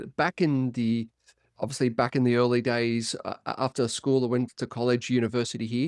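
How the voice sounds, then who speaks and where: A man with an Australian accent talks at a moderate pace and medium pitch, in a dry, close sound with no echo on a very clean recording with a silent background. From Australia, Byron Bay, New South Wales. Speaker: performance coach. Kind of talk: podcast interview.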